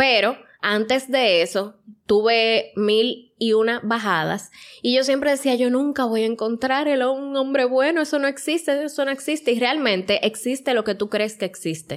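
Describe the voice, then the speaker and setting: Here a woman speaks in a high pitch with ordinary pitch variation. Her pace is moderate and her loudness very even. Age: 30s. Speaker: podcast co-host. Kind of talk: casual chat.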